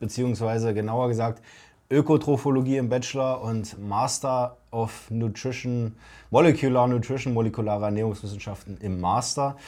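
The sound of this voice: At a moderate pace with few pauses, a man speaks at a medium pitch with a slightly mellow tone and fairly even intonation in a very clean recording with a silent background.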